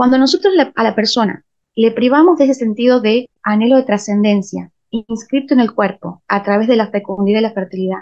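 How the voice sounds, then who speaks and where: A woman speaks in a plain, everyday voice at a fairly high pitch. Her pace is fairly quick, with ordinary pitch variation. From Argentina, Salta (Rosario de la Frontera). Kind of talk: interview.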